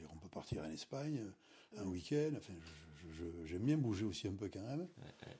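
A man's fairly low, somewhat breathy voice with a dark, mellow tone and a Basque Country accent, moderate pace, lively intonation, big swings in loudness, and long, frequent pauses. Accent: local Basque-country French. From French Basque Country. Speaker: beach bar owner, retired civil servant. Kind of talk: interview. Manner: halting.

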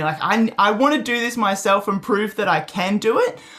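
Her pitch medium, a woman talks with an Australian accent. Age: 20s. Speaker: ecotour company founder. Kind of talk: interview.

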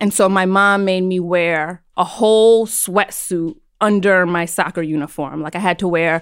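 A woman talks in a plain, everyday voice at a medium pitch and a moderate pace. Her intonation is fairly even, and the recording is very clean with a silent background. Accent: American. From New York City. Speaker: psychotherapist. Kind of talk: casual chat.

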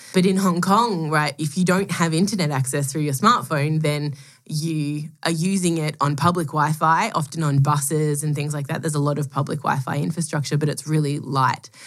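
Speaking at a moderate pace in an Australian accent, a woman has a very deep, low pitch and ordinary pitch variation. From Melbourne, Australia. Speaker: product executive and angel scout. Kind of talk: casual interview chat.

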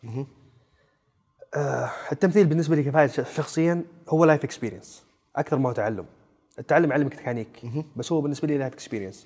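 Speaking at a very fast pace with long, frequent pauses, a man uses a fairly high pitch and ordinary pitch variation. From Saudi Arabia, Najd (Riyadh region). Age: 20s. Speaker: actor. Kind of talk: casual chat. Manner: animated.

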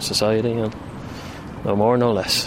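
Speaking at a moderate pace with an Irish accent and fairly even intonation, a man is heard. Audible room echo and noticeable background noise surround him. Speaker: volunteer, freelance journalist. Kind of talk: interview.

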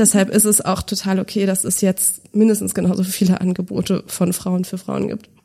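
The voice has a dark, mellow tone and vocal fry, delivered in a flat monotone at a moderate pace. It runs on with hardly any pauses. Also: woman, medium pitch for a woman. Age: 30s. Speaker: finance educator, former journalist and podcast host. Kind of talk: interview conversation. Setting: studio, in person.

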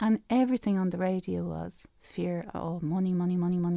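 With a Dublin accent, a woman speaks at a fairly quick pace in a dark, mellow tone and a fairly low pitch. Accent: Dublin Irish. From Ireland, Dublin. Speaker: spiritual life coach and author. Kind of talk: radio interview. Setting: radio studio.

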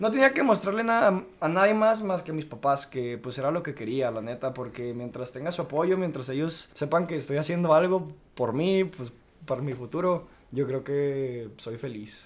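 Delivered at a moderate pace, the voice carries lively intonation. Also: man, fairly high pitch for a man. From northern Mexico, Chihuahua city. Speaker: mixed martial arts fighter. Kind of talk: casual chat.

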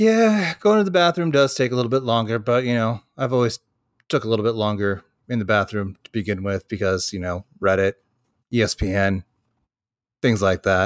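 Speaking with an American accent, a man has an ordinary speaking voice and ordinary pitch variation at a moderate pace. The recording is very clean, with a silent background. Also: medium pitch for a man. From Washington State, US. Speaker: podcast co-host. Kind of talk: casual chat.

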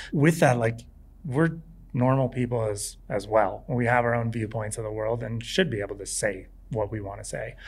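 This man's voice is somewhat breathy and sits at a medium pitch with ordinary variation. He speaks at a moderate pace, and audible room echo can be heard. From California beach town. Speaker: professional skier. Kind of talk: live interview before audience. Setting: outdoor stage with audience.

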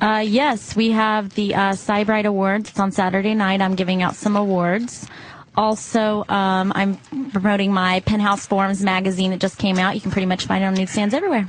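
The delivery is monotone, with flat intonation and a fairly quick pace. It comes in an American accent. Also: woman, medium pitch for a woman, very even loudness. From Texas, Dallas. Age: 20s. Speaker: model. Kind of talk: casual chat. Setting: studio.

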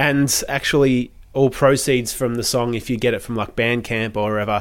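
A plain, everyday voice from a man, medium in pitch, moderate in pace, with fairly even intonation. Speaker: music podcast co-host. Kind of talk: casual chat.

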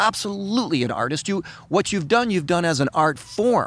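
Here a man has an ordinary speaking voice, with lively intonation at a fairly quick pace. The recording is very clean, with a silent background. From Canada. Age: 50s. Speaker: podcast host. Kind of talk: interview.

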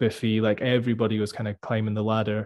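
With a Scottish accent, a man talks at a very fast pace in a fairly low, monotone and flat voice. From Scotland. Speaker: metal guitarist and music producer. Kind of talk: casual interview chat.

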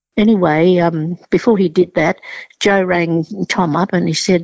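A woman speaks with an Australian accent. Her pitch sits in the middle range. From southern China, raised in Australia. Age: 80s+. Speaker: chef and cooking teacher. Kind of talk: interview. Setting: phone call.

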